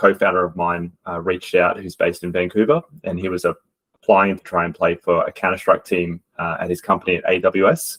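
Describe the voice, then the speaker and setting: A man with a strong Australian accent talks at a fairly quick pace with hardly any pauses, in dry, close sound with no echo. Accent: Australian, strong regional. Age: adult. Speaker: esports coach. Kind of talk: presentation.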